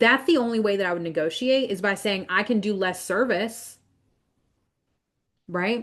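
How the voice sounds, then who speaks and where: Against a quiet background, a woman with a medium-pitched voice speaks in an animated tone with ordinary pitch variation. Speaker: business coach. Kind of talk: online coaching lesson. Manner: fast when excited; casual, animated.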